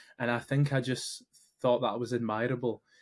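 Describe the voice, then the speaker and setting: A man with a Glaswegian accent speaks very fast with monotone, flat intonation. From Scotland, Glasgow area. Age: 20s. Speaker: entrepreneur, founder of a meetup community. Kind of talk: podcast interview.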